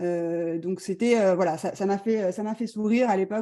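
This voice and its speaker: A woman talks at a moderate pace with ordinary pitch variation, in a very clean recording with a silent background. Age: 40s. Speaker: visual artist. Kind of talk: presentation. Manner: halting.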